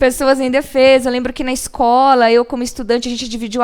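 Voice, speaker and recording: Over noticeable background noise, a woman with a high pitch talks at a fairly quick pace in a monotone, flat intonation. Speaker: law professor. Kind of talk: interview.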